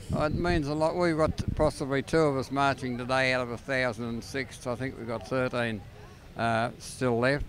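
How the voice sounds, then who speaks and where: A man's medium-pitched voice in an Australian accent, moderate in pace with ordinary pitch variation, with music in the background. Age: 60s. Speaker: war veteran. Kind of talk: live interview.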